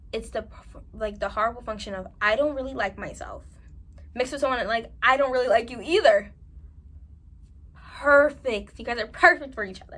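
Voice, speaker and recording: Her loudness rising and falling sharply, a woman speaks fairly quickly. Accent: New York. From New York. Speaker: self-improvement vlogger. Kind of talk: advice monologue to camera. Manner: animated.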